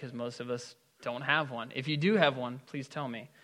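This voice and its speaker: The speaker is a man with a bright, sharp tone. He keeps to a moderate pace. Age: 20s. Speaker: pastor. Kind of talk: sermon. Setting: church.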